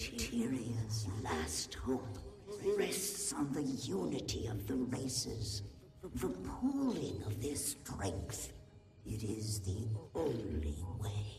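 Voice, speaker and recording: A put-on character voice speaks at a low pitch and very slow pace. Clear background noise and clear echo are present. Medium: machinima. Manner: halting, stammering; solemn, grave.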